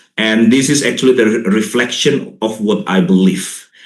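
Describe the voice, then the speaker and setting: Audible room echo surrounds a man of medium pitch who talks at a moderate pace with lively intonation. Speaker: linguist and English teacher educator. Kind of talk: lecture.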